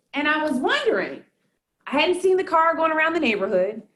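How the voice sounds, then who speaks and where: Someone with a Southern accent speaks in an animated tone, the pitch swinging very widely. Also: woman. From US South, Durham, North Carolina. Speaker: accounting professor and fraud expert. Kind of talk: talk to an audience. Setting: live talk with audience.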